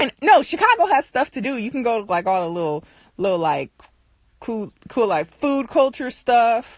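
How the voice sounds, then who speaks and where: A woman with an American accent speaks in an animated tone, her pitch swinging very widely. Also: fairly high pitch for a woman, moderate pace. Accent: sounds country when angry. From US Midwest, Michigan (Detroit area). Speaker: livestream host. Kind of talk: casual chat. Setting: livestream.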